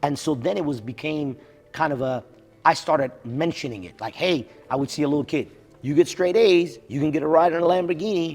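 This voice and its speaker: A man's animated voice, fairly high in pitch, at a fairly quick pace with ordinary pitch variation and music in the background. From abroad, immigrant. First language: not English. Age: 50s. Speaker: physician. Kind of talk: casual chat. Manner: animated storytelling.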